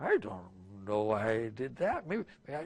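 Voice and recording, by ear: A man in a put-on character voice at a medium pitch and moderate pace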